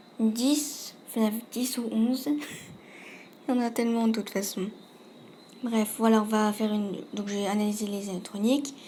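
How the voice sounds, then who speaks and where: A woman speaks with a fairly high pitch, somewhat breathy and dark, mellow in tone. Her intonation stays fairly even, broken by long, frequent pauses. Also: moderate pace. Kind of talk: casual video game commentary. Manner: hesitant, some stammering.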